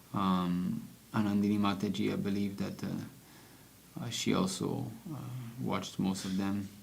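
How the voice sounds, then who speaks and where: Audible room echo surrounds a man's fairly low voice, which has ordinary pitch variation. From French-speaking region. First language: French. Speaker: devotional book reader. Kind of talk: reading aloud with commentary. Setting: livestream.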